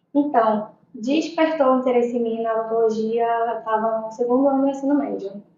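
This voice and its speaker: Audible room echo surrounds a woman speaking fairly quickly at a fairly high pitch with fairly even intonation. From Brazilian Amazon (Benjamin Constant, Manaus). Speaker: pediatric dentist. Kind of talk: podcast interview.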